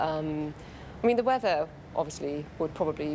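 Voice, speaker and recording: A woman speaks with a very deep, low pitch. Her pace is moderate. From Germany. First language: German. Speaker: interviewee. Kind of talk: interview. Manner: hesitant with fillers.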